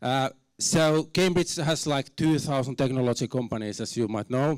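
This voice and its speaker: With a Finnish accent, a man speaks at a moderate pace and fairly high pitch with ordinary pitch variation, on a very clean recording with a silent background. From Finland. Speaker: university program director. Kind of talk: conference talk. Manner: halting, many fillers; reserved, not very expressive.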